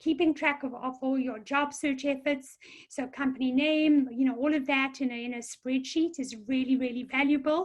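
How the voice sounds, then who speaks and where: A woman with a South African accent speaks in a high pitch at a moderate pace. Her intonation is monotone and flat, with hardly any pauses. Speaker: career counselor. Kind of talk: webinar presentation. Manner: hesitant with many fillers.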